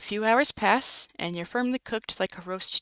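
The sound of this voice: This is an unforced reading voice. Its pitch varies an ordinary amount.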